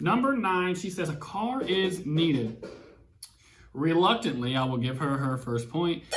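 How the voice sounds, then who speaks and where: A man with an Alabama accent speaks in an animated tone at a fairly high pitch, his voice swinging very widely, with noticeable background noise and audible room echo. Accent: US Southern (Alabama). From Alabama (Huntsville). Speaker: mortgage lender and YouTuber. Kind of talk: casual chat. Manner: fast.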